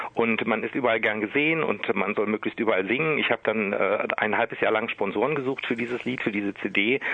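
Amid noticeable background noise, a man with a Berlin accent speaks at a very fast pace and a fairly low pitch. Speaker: singer and cabaret artist. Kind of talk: interview. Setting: phone call.

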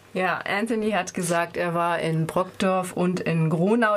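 Over noticeable background noise, a woman talks at a moderate pace with a fairly low pitch. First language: German. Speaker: radio interviewer. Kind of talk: radio interview.

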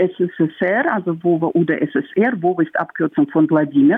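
In a Russian accent, a woman talks at a fairly slow pace. Her pitch sits in the middle range. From Russia, Moscow. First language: Russian (speaking German). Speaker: counter-protester. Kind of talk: phone interview. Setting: phone call. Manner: halting.

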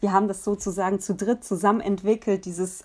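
A woman speaks at a medium pitch, recorded very cleanly with a silent background. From Nuremberg, Franconia, Germany. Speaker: singer-songwriter. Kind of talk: interview. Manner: hesitant, many fillers.

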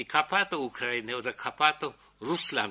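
A man's bright, sharp voice rises and falls with lively intonation. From Czechoslovakia, Sudetenland (Neutitschein, Moravia). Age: 80s. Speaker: Holocaust survivor, witness speaker. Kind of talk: lecture-style testimony to an audience. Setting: lecture hall with audience.

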